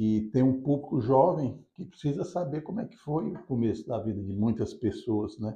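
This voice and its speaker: A man speaks at a medium pitch and a moderate pace. His voice is somewhat breathy, with lively intonation. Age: 60s. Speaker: business founder. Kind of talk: interview.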